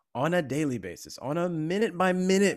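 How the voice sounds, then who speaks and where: Speaking at a moderate pace, a man with a Californian accent sounds animated. The recording is very clean, with a silent background. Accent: General American, California. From US. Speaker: actor and content creator. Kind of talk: casual interview.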